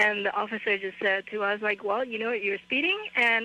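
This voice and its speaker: Fairly high-pitched, a woman talks at a very fast pace. Her intonation stays fairly even, and background noise is noticeable. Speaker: caller. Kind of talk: casual chat.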